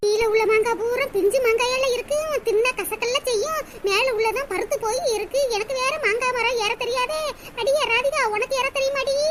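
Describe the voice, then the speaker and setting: Over light background noise, a woman performs a cartoonish character voice at an extremely high pitch. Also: moderate pace, fairly even intonation. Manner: bossy, coaxing.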